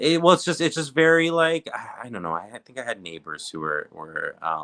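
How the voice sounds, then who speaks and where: A man with a slight Canadian accent and big swings in loudness. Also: moderate pace. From Canada, Southern Ontario (Greater Toronto Area). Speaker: reality TV recap co-host. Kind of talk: casual chat.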